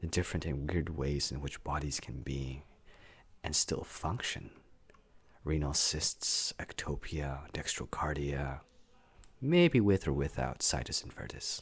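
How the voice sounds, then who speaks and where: A man's voice full of vocal fry, broken by long, frequent pauses. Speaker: medical student. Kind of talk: reflective essay reading.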